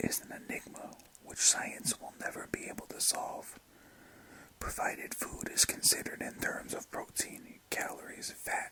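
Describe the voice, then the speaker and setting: A man whispers with big swings in loudness over noticeable background noise. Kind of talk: ASMR whisper reading of a book. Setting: close-mic recording with mouth sounds and page turning. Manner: whispered, soft.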